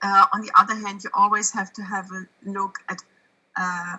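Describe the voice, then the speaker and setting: A woman speaks with monotone, flat intonation. Her tone is bright and sharp. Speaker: parent of a childhood cancer survivor, panelist. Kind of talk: online panel discussion. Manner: halting, searching for words.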